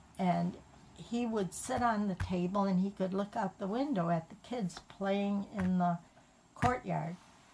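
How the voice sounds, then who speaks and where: A woman's somewhat breathy voice at a fairly slow pace. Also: medium pitch for a woman, ordinary pitch variation. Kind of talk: family storytelling.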